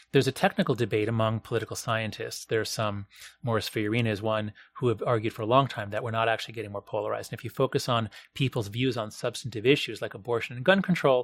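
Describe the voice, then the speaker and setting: A man with an American accent, medium pitch and a very fast pace, in a dry, close sound with no echo. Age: 50s. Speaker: professor and author. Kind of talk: interview conversation. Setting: in person at a university.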